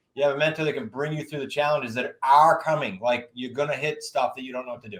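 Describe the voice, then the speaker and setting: A man with a Boston accent talks at a very fast pace. His voice is fairly high and his tone is energetic. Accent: New England (Boston-area). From New England. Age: 50s. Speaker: real estate investing coach. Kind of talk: podcast interview.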